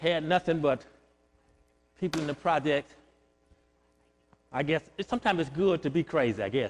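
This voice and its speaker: Lively intonation marks this man's fairly high voice, which moves at a moderate pace with long, frequent pauses, captured dry and close without echo. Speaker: pastor. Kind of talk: sermon. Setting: church. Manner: loud.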